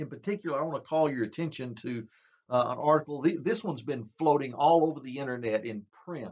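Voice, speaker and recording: Very fast speech comes from a man with a Southern US accent. His voice is fairly high, and its pitch varies in an ordinary way. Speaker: preacher. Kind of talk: bible prophecy teaching. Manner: conversational.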